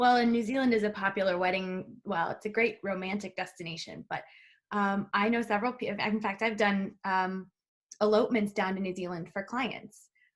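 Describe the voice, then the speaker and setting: A woman with an American accent in a normal speaking voice, medium in pitch, at a moderate pace with fairly even intonation. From US Midwest. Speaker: travel advisor, podcast host. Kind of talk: casual interview.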